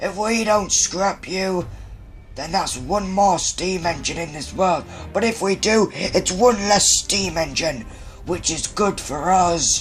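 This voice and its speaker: Clear music plays behind a raspy, cartoonish character voice of middle pitch moving at a fairly slow pace. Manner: menacing.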